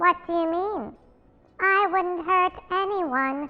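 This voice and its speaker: A woman puts on a squeaky character voice. She speaks at a very slow pace. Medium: comedy sketch. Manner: soft-spoken, eerie.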